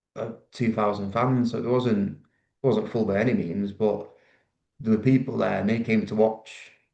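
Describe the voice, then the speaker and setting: This man speaks at a moderate pace in a Mancunian accent. His tone is dark and mellow. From Manchester, northern England. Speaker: rugby league player. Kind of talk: podcast interview.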